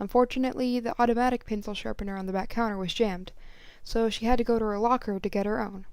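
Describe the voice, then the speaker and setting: Talking at a very fast pace, a woman uses a fairly high pitch with fairly even intonation. The recording is very clean, with a silent background. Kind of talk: story reading. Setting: home recording. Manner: halting, uneven breathing.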